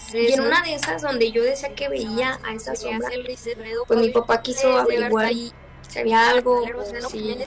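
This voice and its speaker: Noticeable background noise sits behind a woman speaking fairly slowly. Her voice is fairly high, with ordinary pitch variation. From León, Spain or Mexico. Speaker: interviewee telling a real horror experience. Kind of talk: interview answer, personal horror story told over video call.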